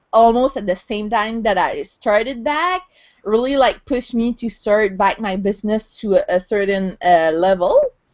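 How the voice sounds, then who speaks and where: Here a woman speaks at a fairly slow pace. Her pitch is fairly high. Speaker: online entrepreneur. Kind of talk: casual chat. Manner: halting, many fillers.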